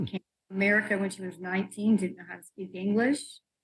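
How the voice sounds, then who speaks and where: A woman's somewhat breathy voice holds a medium pitch with fairly even intonation. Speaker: pattern maker and fashion professor. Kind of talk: interview answer.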